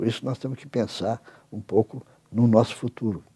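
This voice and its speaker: The man's tone comes across as dark and mellow. He talks at a fairly quick pace. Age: 80s+. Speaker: professor and international academic leader. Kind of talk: interview. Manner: halting, with repeated words.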